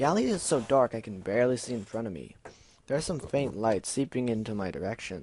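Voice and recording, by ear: The pitch moves in an ordinary way as a natural voice reads aloud.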